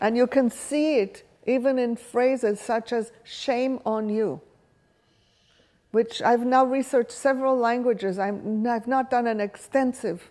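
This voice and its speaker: Fairly slow speech in a dark, mellow tone with fairly even intonation and an Israeli accent. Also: woman, high pitch for a woman. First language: Hebrew. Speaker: workshop leader. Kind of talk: lecture.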